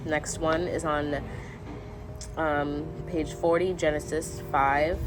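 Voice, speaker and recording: A woman speaks in a very deep, low voice with fairly even intonation. Noticeable background noise and audible room echo fill the recording. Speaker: lifestyle vlogger. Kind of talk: casual vlog with reading aloud. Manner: halting, stumbles over words.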